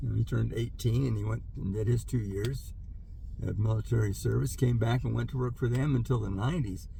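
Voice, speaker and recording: Audible room echo fills this recording. A man speaks at a fairly quick pace. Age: 70s. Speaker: vlogger, older worker reflecting on career. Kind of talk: casual monologue vlog. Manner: hesitant, many fillers.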